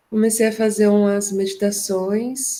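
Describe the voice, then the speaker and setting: A soft-spoken, somewhat breathy woman's voice with a dark, mellow tone. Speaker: psychologist and therapist, workshop participant. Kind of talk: casual discussion in an online workshop.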